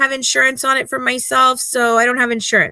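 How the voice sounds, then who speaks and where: In a dry, close recording with no echo, a woman projects a raised, high voice with a bright, sharp tone. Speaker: true crime commentary host. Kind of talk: casual chat. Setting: live stream. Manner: animated.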